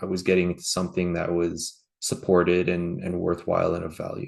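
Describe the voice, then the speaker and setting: Speech comes at a fairly quick clip. It carries a Canadian accent. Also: man. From Canada. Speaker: franchise partner, business owner. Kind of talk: interview.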